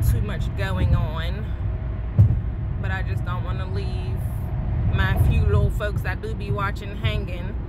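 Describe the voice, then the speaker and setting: A woman at a moderate pace, with ordinary pitch variation over loud background noise. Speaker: vlogger. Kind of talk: casual vlog chat. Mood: relaxed, playful. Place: car. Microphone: phone near.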